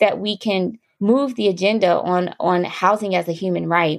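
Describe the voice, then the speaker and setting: A woman speaks with an American accent at a medium pitch. Her pace is moderate. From US Midwest, Columbus, Ohio. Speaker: fellowship alumna, community health leader. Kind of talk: interview.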